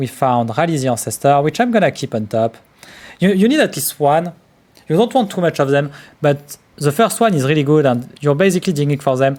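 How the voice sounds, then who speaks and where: A man talks at a fairly quick pace with a fairly high pitch. His intonation is lively. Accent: strong French. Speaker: card game streamer. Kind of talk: live gameplay commentary.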